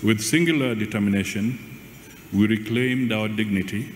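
A man's fairly slow speech with ordinary pitch variation, light background noise and audible room echo. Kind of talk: formal speech. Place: hall. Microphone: podium.

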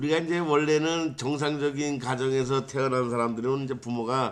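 Delivered at a fairly slow pace, a normal speaking voice carries ordinary pitch variation. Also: man. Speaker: legal scrivener. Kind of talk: informal legal explainer. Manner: casual, rhetorical questions.

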